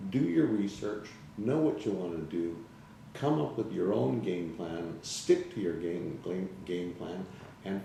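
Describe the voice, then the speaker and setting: With audible room echo, a man speaks fairly slowly, his pitch swinging very widely. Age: 60s. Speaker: salesman giving client testimonial. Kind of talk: interview testimonial. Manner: hesitant, many fillers.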